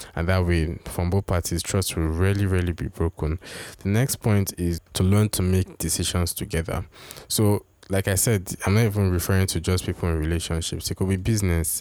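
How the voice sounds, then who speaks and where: On a very clean recording with a silent background, a man with a very deep, low, dark and mellow voice talks at a fairly quick pace, his intonation fairly even and his loudness very even. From Nigeria. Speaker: relationship podcast host. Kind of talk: advice monologue.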